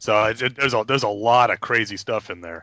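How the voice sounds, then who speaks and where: A man speaks at a fairly quick pace with an American accent, in a plain, everyday voice with ordinary pitch variation. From New York. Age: 30s. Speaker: comic book podcast panelist. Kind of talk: casual chat.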